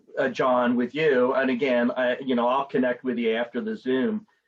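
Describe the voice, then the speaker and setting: At a fairly slow pace with ordinary pitch variation, this is an ordinary speaking voice. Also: man. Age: 60s. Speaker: documentary interviewer. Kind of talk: interview. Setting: video call.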